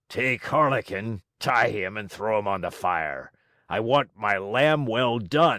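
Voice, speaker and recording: A man speaks at a fairly slow pace in a raspy, put-on character voice, pitched in the medium range. The recording is very clean, with a silent background. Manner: yelling, commanding.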